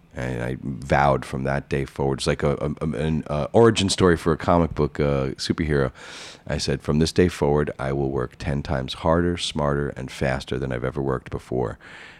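This man has a very deep, low pitch and a New York accent, talking at a fairly quick pace with ordinary pitch variation. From New York City (Queens). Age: 40s. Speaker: high-end comic book dealer. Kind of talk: interview. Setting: on location at his shop.

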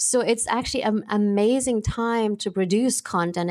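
In a German accent, a woman is speaking. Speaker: actress and film producer. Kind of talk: interview. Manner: animated.

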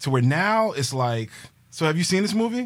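A man speaks in an animated tone with very wide pitch swings. His voice is somewhat breathy, and his pace is moderate. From New York City, Queens. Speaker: movie podcast co-host. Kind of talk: casual chat.

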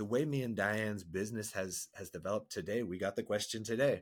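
In a very clean recording with a silent background, a man with an ordinary speaking voice talks at a fairly quick pace, his pitch fairly low with ordinary variation. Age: 40s. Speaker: marriage and men's coach. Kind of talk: podcast interview. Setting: studio.

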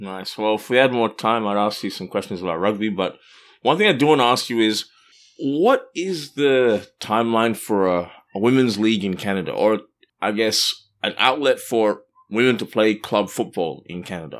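A man with an Australian accent and a medium-pitched voice talks at a moderate pace with ordinary pitch variation on a very clean recording with a silent background. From Australia (Perth). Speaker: sports podcast co-host. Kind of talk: casual chat.

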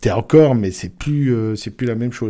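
With a dark, mellow tone, a man of medium pitch speaks with ordinary pitch variation. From rural Alsace near the Vosges. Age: 50s. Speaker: mayor and nurse. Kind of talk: interview. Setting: town hall. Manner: hesitant with fillers.

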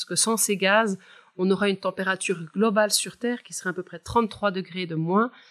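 In a normal speaking voice, a woman talks at a medium pitch and a fairly quick pace with ordinary pitch variation, on a very clean recording with a silent background. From Switzerland, Val de Travers, canton of Neuchâtel. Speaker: climate scientist. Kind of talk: expert interview.

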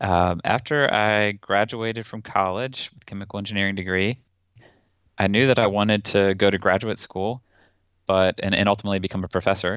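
A man with an American accent and an ordinary speaking voice talks at a fairly quick pace in a fairly low pitch, his intonation fairly even but his loudness swinging widely. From North Carolina, Raleigh. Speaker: chemical engineering professor. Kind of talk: interview.

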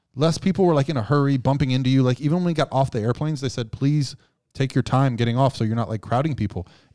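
A man talks at a very fast pace in a dark, mellow tone. The recording is very clean, with a silent background. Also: medium pitch for a man, ordinary pitch variation. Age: 40s. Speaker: bodybuilding coach and sponsored athlete. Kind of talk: casual chat.

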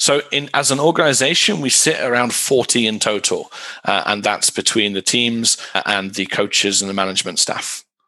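Lively intonation marks a man's medium-pitched voice with a British accent. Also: moderate pace. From UK. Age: 30s. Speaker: esports team director. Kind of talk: interview.

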